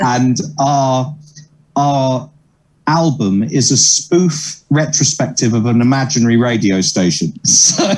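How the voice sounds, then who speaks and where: A man with an English accent at a very slow pace, medium pitch, ordinary pitch variation and very even loudness. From southern England, Sutton. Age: 30s. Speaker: comedian and musician. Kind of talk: interview.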